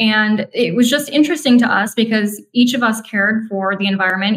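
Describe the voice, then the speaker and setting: Talking at a moderate pace, a woman with an American accent and an unremarkable speaking voice has a fairly high pitch and fairly even intonation. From northern Minnesota. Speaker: CEO of a conservative environmental group. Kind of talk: interview conversation.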